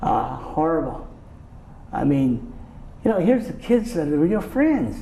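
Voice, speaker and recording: Speaking with an American accent, a man uses a high pitch with very wide pitch swings at a fairly slow pace, leaving long, frequent pauses over noticeable background noise. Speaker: interviewee, Japanese American recalling wartime childhood. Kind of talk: interview answer. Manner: soft-spoken, calm.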